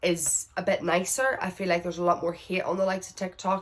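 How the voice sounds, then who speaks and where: Talking at a fairly quick pace, a woman with a Northern Irish accent has a fairly low pitch. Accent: Northern Irish, heavy. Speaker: vlogger. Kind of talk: casual Q&A chat. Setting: indoors at someone else's house. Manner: loud; chatty, rambling.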